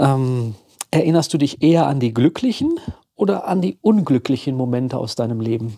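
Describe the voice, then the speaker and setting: His tone is dark and mellow. This man talks at a moderate pace with lively intonation. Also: medium pitch for a man. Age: 50s. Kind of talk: casual chat.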